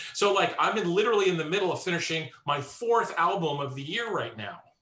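A man speaks in a high pitch at a moderate pace. Room echo is audible around his voice. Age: 50s. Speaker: composer and musician. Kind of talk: interview conversation.

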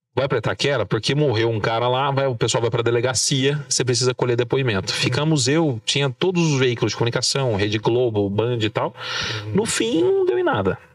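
A man talks at a fairly quick pace with a medium pitch, ordinary pitch variation and very even loudness. Noticeable background noise is present. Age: 30s. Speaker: journalist, political marketing. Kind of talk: casual interview. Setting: studio with camera.

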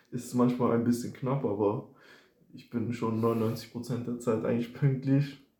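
In a room with audible echo, a man with a medium pitch and a dark, mellow tone speaks at a very slow pace, somewhat breathy, in a monotone, flat intonation with big swings in loudness. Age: 20s. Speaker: first-year student. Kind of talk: casual chat.

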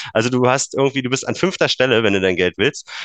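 A normal speaking voice with lively intonation. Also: man, dry, close sound with no echo. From eastern Germany, Brandenburg. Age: 30s. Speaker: engineer and Bitcoin enthusiast. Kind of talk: casual interview.

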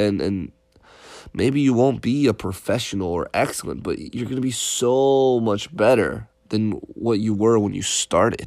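Here a man speaks in an American accent at a fairly slow pace. His pitch is medium with ordinary variation, on a very clean recording with a silent background. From Connecticut, US. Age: 20s. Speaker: podcast host, motivational self-development. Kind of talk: casual monologue. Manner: halting, many repetitions and fillers.

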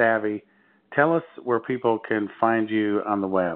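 A man speaks in a Midwestern American accent. His medium-pitched voice keeps a fairly even intonation. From near Chicago, US Midwest. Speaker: interviewer.

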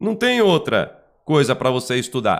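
With a Brazilian accent, a man speaks at a fairly slow pace in a fairly high pitch with lively intonation. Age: 40s. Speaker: Umbanda teacher and YouTuber. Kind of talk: online lesson. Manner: animated.

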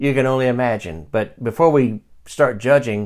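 The voice is a plain, everyday voice. Its pace is moderate, and its pitch varies in the usual way. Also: man. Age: 50s. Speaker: Bible teacher and podcast host. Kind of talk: Bible study lesson. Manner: conversational, with frequent fillers and restarts.

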